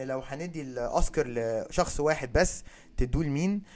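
An unremarkable speaking voice carries lively intonation at a moderate pace. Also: man. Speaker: podcast host. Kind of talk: casual chat.

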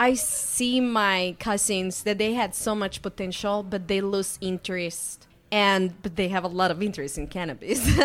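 With music in the background, a speaker with a Spanish accent talks at a moderate pace and ordinary pitch variation. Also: woman, medium pitch for a woman. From Mexico, Guadalajara. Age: 30s. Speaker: chemist and startup founder. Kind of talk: interview.

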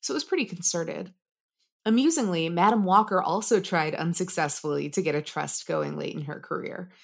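A woman at a fairly quick pace, in a very clean recording with a silent background. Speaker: podcast host. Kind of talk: casual history podcast chat, partly scripted narration. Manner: animated, casual, does funny accents.

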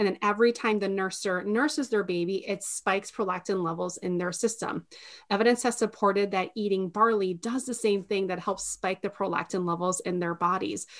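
Over a quiet background, a woman talks in a normal speaking voice at a medium pitch and fairly quick pace, with ordinary pitch variation and hardly any pauses. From Minnesota, partly raised in Mexico. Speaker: postpartum meal delivery business owner. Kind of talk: interview conversation.

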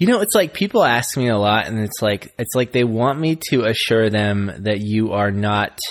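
A plain, everyday voice from a man, fairly low in pitch, at a moderate pace. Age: 30s. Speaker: podcast co-host. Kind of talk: casual chat.

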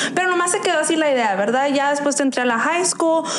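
Noticeable background noise and audible room echo surround a woman's voice. She speaks at a high pitch with lively intonation. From Arizona, US. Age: 20s. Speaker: violinist. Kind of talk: interview. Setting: studio.

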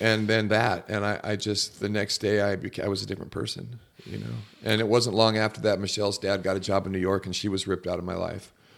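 In an American accent, a man speaks at a very fast pace with a fairly low pitch, vocal fry and monotone, flat intonation. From Southern California (Laguna Beach) and Mexico. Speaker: pastor and former outlaw biker. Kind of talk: casual chat.

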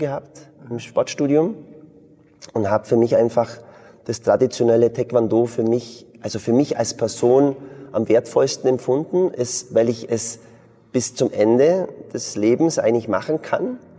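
A man talks at a medium pitch and a moderate pace, with ordinary pitch variation. He takes long, frequent pauses. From Bavarian Swabia, southern Germany. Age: 40s. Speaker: martial arts school founder and entrepreneur. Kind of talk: interview conversation.

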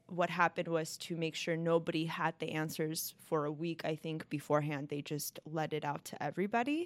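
A woman with an American accent speaks at a moderate pace on a very clean recording with a silent background. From Los Angeles, California. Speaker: law clerk. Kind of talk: casual chat.

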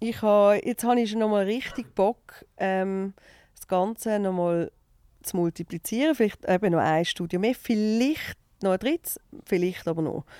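In a Basel accent, a woman speaks at medium pitch and a moderate pace with a dark, mellow tone and big swings in loudness, in a dry, close sound with no echo on a very clean recording with a silent background. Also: ordinary pitch variation. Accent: Basel Swiss German dialect. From Switzerland, Basel. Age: 40s. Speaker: TV and radio presenter, entrepreneur. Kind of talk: casual interview chat.

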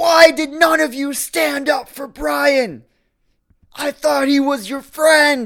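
The speaker shouts in a put-on character voice. The pace is very slow. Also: man, extremely high pitch for a man. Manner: screaming, scolding.

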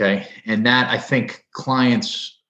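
Over a quiet background, a man at a medium pitch speaks with a New Jersey accent. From New Jersey (Edison). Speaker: personal injury lawyer. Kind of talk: interview.

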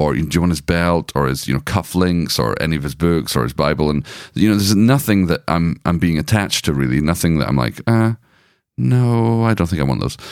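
In a Scottish accent, a man with a very deep, low voice speaks with lively intonation. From Scotland. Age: 40s. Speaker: podcast co-host. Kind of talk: casual chat. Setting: home recording room.

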